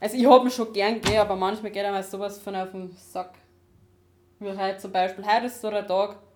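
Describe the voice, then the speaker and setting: A woman at a very fast pace with long, frequent pauses, medium pitch, fairly even intonation and big swings in loudness. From Upper Bavaria, Dachau hinterland. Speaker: podcast co-host. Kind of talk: casual chat. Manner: quiet. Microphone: laptop recording, levels too quiet.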